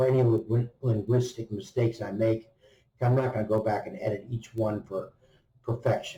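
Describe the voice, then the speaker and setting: A man with an American accent speaks at a moderate pace and medium pitch, with ordinary pitch variation. His tone is dark and mellow, and somewhat breathy. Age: 70s. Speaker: retired travel vlogger. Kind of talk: unscripted vlog narration. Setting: hotel gym. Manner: casual, with fillers.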